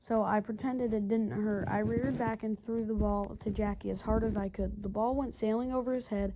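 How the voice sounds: This is a natural reading voice. It reads the text aloud.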